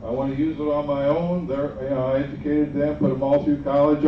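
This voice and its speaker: An American-accented man at a fairly high pitch, moderate pace and fairly even intonation, with audible room echo and noticeable background noise. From southern Indiana, US Midwest. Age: 70s. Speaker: flying club volunteer coordinator. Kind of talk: informal talk to a group.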